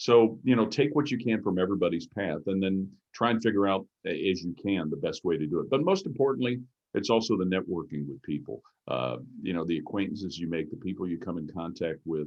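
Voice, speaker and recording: This man's voice is very deep and low, with an American accent. He speaks very fast with lively intonation. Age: 60s. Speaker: sports play-by-play broadcaster. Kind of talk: interview. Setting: video call.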